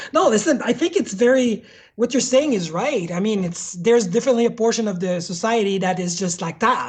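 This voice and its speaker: Amid noticeable background noise, a woman with a French accent speaks fairly quickly at a fairly high pitch, her intonation lively. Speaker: hardware developer. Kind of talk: casual interview chat.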